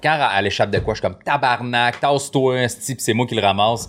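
An ordinary speaking voice at a fairly quick pace, with ordinary pitch variation, on a very clean recording with a silent background. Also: man. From Quebec. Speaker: comedian. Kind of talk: casual chat. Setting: studio.

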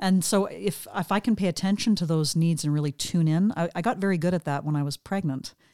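A woman's dark, mellow voice in a Western Canadian accent at a fairly low pitch, fairly quick with hardly any pauses and ordinary pitch variation, dry and close with no echo on a very clean recording with a silent background. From Western Canada, British Columbia. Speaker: yoga teacher. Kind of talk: casual interview. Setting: home studio.

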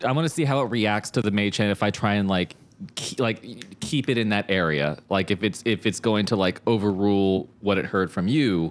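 A man speaks in a normal speaking voice at a fairly low pitch, with ordinary pitch variation and very even loudness. The recording is very clean, with a silent background. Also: moderate pace. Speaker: player in the tabletop roleplaying game. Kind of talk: casual game chat.

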